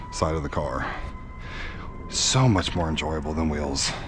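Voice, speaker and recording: A man talks fairly quickly while music plays in the background. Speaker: car content creator. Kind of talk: casual vlog narration while washing car. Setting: outdoors.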